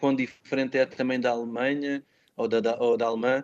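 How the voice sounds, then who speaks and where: The speaker is a man with a medium-pitched voice. He delivers his words in a monotone, with flat intonation. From Portugal, Alverca do Ribatejo. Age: 30s. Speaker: musician and language teacher. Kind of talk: interview. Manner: hesitant, many fillers.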